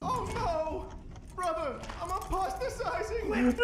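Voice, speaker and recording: Through loud background noise and a slight echo comes a put-on character voice at an extremely high pitch and fairly slow pace. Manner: exaggerated, cartoonish.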